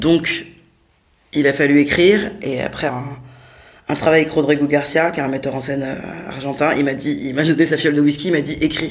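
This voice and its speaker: A woman speaks in a very deep, low pitch with fairly even intonation. Her long, frequent pauses carry audible room echo. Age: 30s. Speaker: theatre director and performer. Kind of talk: interview. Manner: halting.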